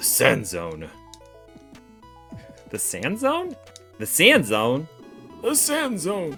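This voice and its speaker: Over clear music in the background, a put-on character voice is raised and projected. It moves at a very slow pace with long, frequent pauses. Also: man. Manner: acted king voice.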